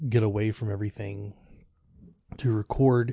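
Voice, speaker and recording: The speaker is a man with a fairly low pitch. His voice is somewhat breathy. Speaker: podcast host. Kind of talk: solo monologue. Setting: lying in bed at home.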